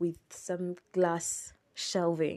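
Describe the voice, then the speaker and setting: A woman talks at a medium pitch, her tone dark and mellow. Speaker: podcast host. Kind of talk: travel review monologue. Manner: casual, laughing.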